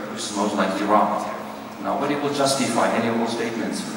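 Amid noticeable background noise and strong room echo, the speaker goes at a fairly quick pace with fairly even intonation. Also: man. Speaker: professor giving a conference talk. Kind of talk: lecture. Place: hall.

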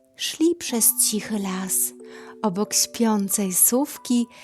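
A very slow delivery with music in the background. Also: woman. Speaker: storyteller. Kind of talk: bedtime story reading. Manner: soft, calming.

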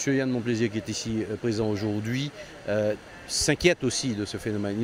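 A man talks at a fairly quick pace with fairly even intonation. The sound is dry with no echo, with light background noise. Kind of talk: interview answer. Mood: concerned, questioning. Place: open country. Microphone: handheld.

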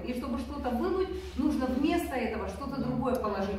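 A woman's high voice at a very fast pace, ordinary pitch variation, strong room echo and light background noise. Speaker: conference speaker. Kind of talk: sermon. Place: hall. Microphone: camera far.

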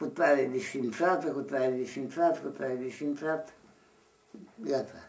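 The speaker is a man. He talks very slowly. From Romania. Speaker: Orthodox monk elder. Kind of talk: interview answer. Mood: grave, earnest. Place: home room. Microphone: camera far.

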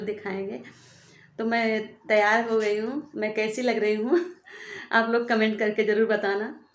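Speaking at a fairly slow pace, a woman holds a monotone, flat intonation amid audible room echo. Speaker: vlogger. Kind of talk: casual vlog chat. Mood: cheerful, laughs at times. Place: home room. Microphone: phone near.

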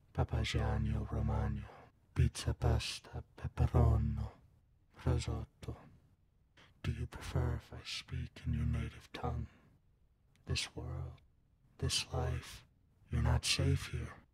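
A put-on character voice, raspy and solemn in tone, moves at a fairly slow pace. Long pauses come often. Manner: cryptic, solemn, mocking.

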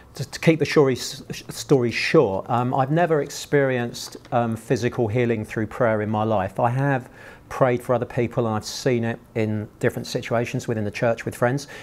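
A man speaks at a moderate pace with hardly any pauses. His intonation stays fairly even. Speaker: guest. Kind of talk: personal testimony to an audience. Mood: earnest, emotional story. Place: hall.

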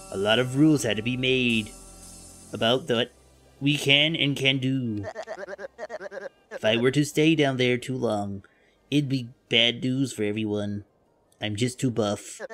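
A put-on character voice speaks at a moderate pace with long, frequent pauses. Music plays in the background. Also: woman, very deep, low pitch for a woman. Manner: friendly, explanatory, wry.

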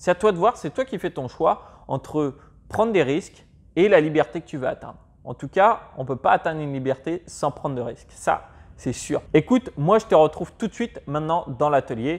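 A man talks at a moderate speed, his intonation lively throughout. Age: 20s. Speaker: personal finance youtuber. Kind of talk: tutorial. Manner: casual, addresses viewer as tu. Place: home room.

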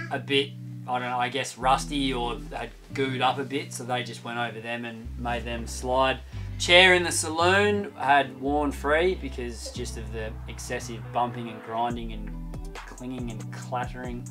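Over clear music in the background, the speaker goes at a fairly slow pace with big swings in loudness. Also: man. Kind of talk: casual vlog chat. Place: boat. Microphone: camera far.

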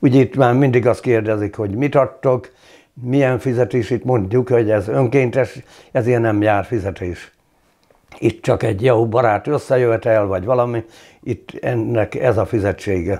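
Its tone is dark and mellow, with fairly even intonation. The pace is moderate and the background quiet. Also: man. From Hungary, Szabolcs county (Geszteréd); Hungary. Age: 60s. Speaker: retired volunteer fire chief; former councillor. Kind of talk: interview. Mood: calm, reflective. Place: home room.

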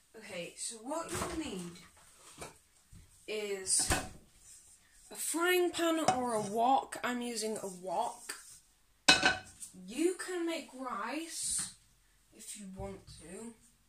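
A woman's very slow speech broken by long, frequent pauses over loud background noise. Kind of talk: tutorial. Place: kitchen.

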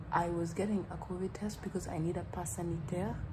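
Noticeable background noise behind a woman at a moderate pace. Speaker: student vlogger. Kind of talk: casual vlog chat. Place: home room. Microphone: phone near.

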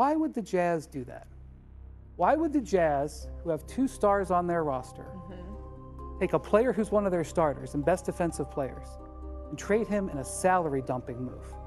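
With clear music behind him, a man talks at a moderate pace, leaving long, frequent pauses. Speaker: sports journalist. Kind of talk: TV sports debate monologue. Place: studio.

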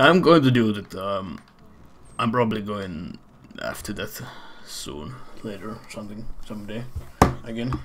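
Noticeable background noise sits under a man's fairly low voice at a moderate pace. His intonation is lively, with long, frequent pauses and big swings in loudness. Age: 30s. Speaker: video game speedrunner. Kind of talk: casual chat. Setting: live stream with voice chat.

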